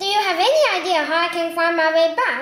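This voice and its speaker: Putting on a squeaky character voice, a woman talks at a fairly quick pace and an extremely high pitch. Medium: read story.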